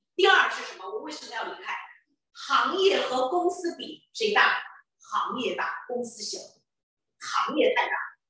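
Amid strong room echo over a quiet background, a woman with an extremely high pitch and a bright, sharp tone speaks fairly slowly, her pitch swinging very widely and her loudness varying a lot, with long, frequent pauses. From Chengdu, Sichuan, China; Sichuan, China. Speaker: entrepreneur and business recruitment speaker; presenter. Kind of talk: sales pitch. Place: hall. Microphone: handheld.

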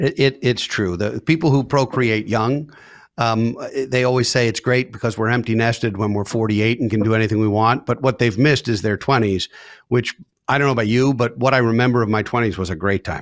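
The man talks at a fairly quick pace against a quiet background. The sound is dry, with no echo. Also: ordinary pitch variation. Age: 50s. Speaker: podcast host and financial advisor. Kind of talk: casual interview chat. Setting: video recording. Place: home room. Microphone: studio mic.

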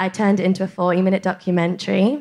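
A woman with a Geordie accent speaks in a monotone, flat intonation over a quiet background. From northeast England. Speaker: documentary filmmaker; podcast guest. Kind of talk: audience pitch. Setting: stage with audience.

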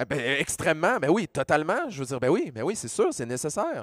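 A man with a Quebec accent speaks with a fairly high pitch and very wide pitch swings. The sound is dry with no echo and the background quiet. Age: 40s. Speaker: pharmacist and science communicator; panelist. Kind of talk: panel discussion. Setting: stage with audience. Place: stage. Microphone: handheld.

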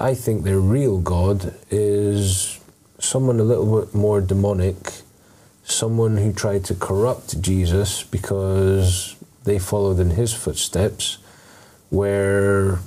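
A man's low-pitched, dark, mellow voice at a slow pace, with fairly even intonation and audible room echo

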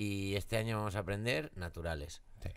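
His pitch sits fairly low. The man keeps a moderate tempo. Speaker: podcast co-host. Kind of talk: casual comedic podcast chat. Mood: playful, joking, laughing. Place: studio. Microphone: studio mic.

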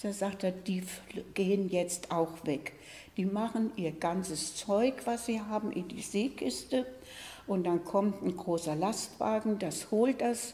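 Moving at a very slow pace, a woman speaks with ordinary pitch variation. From Eschwege, northern Hesse, Germany. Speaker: contemporary witness. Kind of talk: oral history recollection. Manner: hesitant, conversational. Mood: calm, reflective storytelling. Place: studio.

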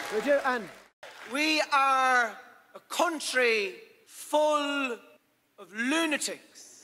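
Over crowd noise, a man with an Irish accent projects a raised voice at an extremely high pitch, bright and sharp in tone, speaking very slowly with long, frequent pauses, big swings in loudness and ordinary pitch variation. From Ireland. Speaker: stand-up comedian. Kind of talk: live stand-up comedy.

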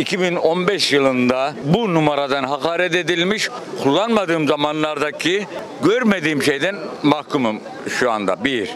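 Recorded dry with no echo but with noticeable background noise, a man speaks fairly slowly at a fairly high pitch. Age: 60s. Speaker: architect and shopkeeper. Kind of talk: street interview. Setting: outdoors. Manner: animated. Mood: aggrieved, emphatic. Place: street. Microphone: handheld.

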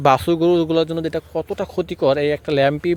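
A man with a plain, everyday voice. His pitch varies in an ordinary way. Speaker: cattle farmer and YouTuber. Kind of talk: vlog tutorial. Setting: at home farm.

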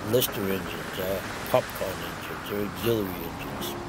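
A man speaks with an American accent at a moderate pace. Noticeable background noise runs behind him. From Provincetown, Massachusetts. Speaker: former fisherman. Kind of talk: documentary narration, personal recollection.

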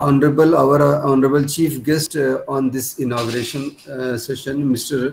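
Over light background noise, a somewhat breathy man talks at a moderate pace with a fairly high pitch and monotone, flat intonation. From India. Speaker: institute principal. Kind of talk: formal vote of thanks. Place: office. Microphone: webcam.

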